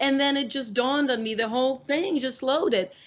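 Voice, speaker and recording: At a moderate pace, a woman speaks in a Russian accent. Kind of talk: interview. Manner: halting.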